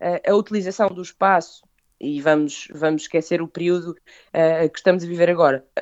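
A woman talks at a fairly quick pace with fairly even intonation. Hers is an ordinary speaking voice, fairly low in pitch. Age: 30s. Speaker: food business founder. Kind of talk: interview.

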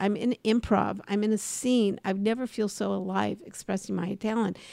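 A woman with an American accent and a normal speaking voice, fairly high in pitch, at a fairly slow pace with fairly even intonation, in a very clean recording with a silent background. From Los Angeles, US. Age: 60s. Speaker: podcast host, comedy and career coach. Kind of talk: casual chat.

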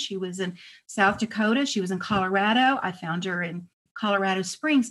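Against a quiet background, a woman speaks at a moderate pace in a somewhat breathy voice. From Texas, El Paso. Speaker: author and historian. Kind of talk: interview.

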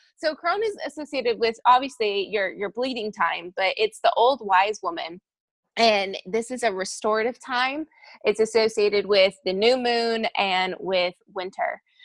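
Recorded very cleanly with a silent background and a dry, close sound with no echo, a woman with a plain, everyday voice speaks at a moderate pace in a fairly high pitch with lively intonation. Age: 20s. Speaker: intuitive coach and business mentor. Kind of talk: podcast interview.

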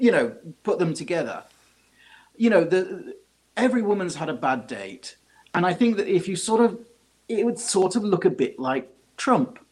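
With a British accent, a man talks fairly quickly at a high pitch and with lively intonation. He leaves long, frequent pauses. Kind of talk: casual chat.

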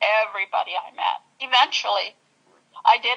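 A woman with a Canadian accent in a dry, close sound with no echo. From Ontario, Canada (Gananoque). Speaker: guest sharing personal story. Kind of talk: interview testimony.

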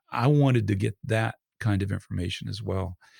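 Vocal fry and lively intonation at a fairly quick pace with an American accent, on a very clean recording with a silent background and a dry, close sound with no echo. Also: man. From Georgia, USA. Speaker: painter and podcaster. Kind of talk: interview.

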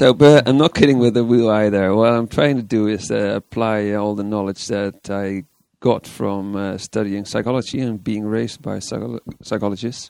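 A dark, mellow tone with a Dutch accent, fairly even intonation and a moderate pace. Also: man. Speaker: persuasion psychology consultant. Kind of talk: interview. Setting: conference venue.

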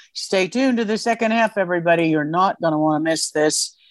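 A woman with an American accent talks at a medium pitch with ordinary pitch variation. The recording is very clean, with a silent background and a dry, close sound with no echo. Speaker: radio host. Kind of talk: infomercial-style sign-off and promo pitch, urgent and evangelical. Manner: earnest, impassioned, exhortative.

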